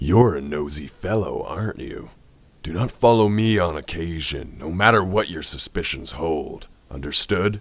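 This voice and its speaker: A man does a put-on character voice, very deep and low, with lively intonation. He goes at a moderate pace, his loudness swinging widely. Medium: machinima.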